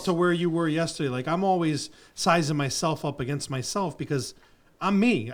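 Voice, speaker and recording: A plain, everyday voice from a man, fairly high in pitch with ordinary pitch variation, at a moderate pace in a very clean recording over a silent background. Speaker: podcast host. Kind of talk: casual podcast conversation.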